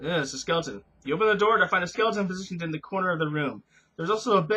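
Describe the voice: A plain read-aloud passage, pitch shifting by ordinary amounts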